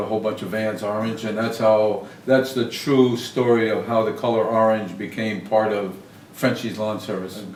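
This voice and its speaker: A man at a medium pitch speaks in a monotone, flat way, with noticeable background noise and audible room echo. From southern Maine. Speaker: lawn service business owner, Air Force veteran. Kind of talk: interview. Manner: halting, many fillers.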